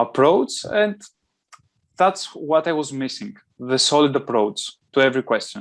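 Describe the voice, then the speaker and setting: Speaking at a moderate pace with long, frequent pauses, a man with a fairly high pitch and a non-native accent uses lively intonation. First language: not English. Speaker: GMAT test taker. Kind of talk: interview answer.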